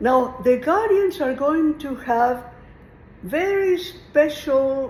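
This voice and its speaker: With a Mexican accent, a woman speaks at a high pitch amid audible room echo and noticeable background noise. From Mexico. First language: Spanish. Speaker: retired teacher. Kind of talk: informal lecture on philosophy. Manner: conversational, meandering.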